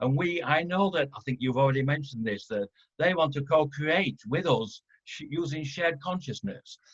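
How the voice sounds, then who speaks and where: The recording is dry and close, without echo. In it, a man speaks fairly quickly. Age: 60s. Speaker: webinar participant sharing ET contact story. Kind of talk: testimony. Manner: halting.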